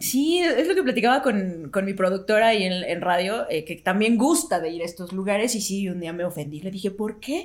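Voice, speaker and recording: Speaking in a Mexican accent, a woman uses a medium pitch and lively intonation. She barely pauses at all. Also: moderate pace. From Mexico. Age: 30s. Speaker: radio announcer. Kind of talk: casual chat.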